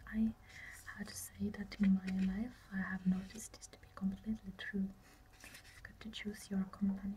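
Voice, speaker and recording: A soft-spoken woman whispers, with big swings in loudness. Light background noise is present. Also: moderate pace. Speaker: ASMR creator. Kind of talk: ASMR relaxation reading. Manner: soft-spoken, whispered. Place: home room. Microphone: phone near.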